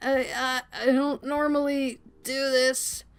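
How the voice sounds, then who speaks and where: Using a put-on character voice, a woman speaks high, at a fairly slow pace, with monotone, flat intonation. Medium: game stream. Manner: brusque, low-key.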